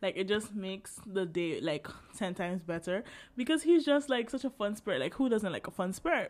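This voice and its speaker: A woman's voice with very wide pitch swings. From Caribbean island. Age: 20s. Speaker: podcast host, university student. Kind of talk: casual solo monologue. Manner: casual, filler-heavy.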